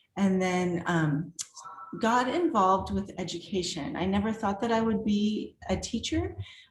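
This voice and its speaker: Over noticeable background noise, a woman with a medium-pitched voice speaks with lively intonation and very even loudness. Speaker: artist and art professor. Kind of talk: virtual artist talk.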